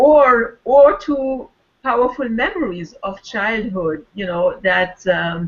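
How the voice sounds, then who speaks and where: A woman's fairly high voice in a French accent, with lively intonation at a very slow pace. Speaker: wellness circle participant. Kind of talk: casual chat. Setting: video call.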